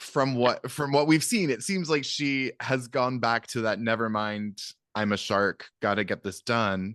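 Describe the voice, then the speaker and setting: A man with an American accent speaks at a fairly slow pace and medium pitch with ordinary pitch variation, the sound dry and close with no echo over a quiet background. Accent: Seattle accent, surfaces occasionally. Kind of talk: casual podcast conversation.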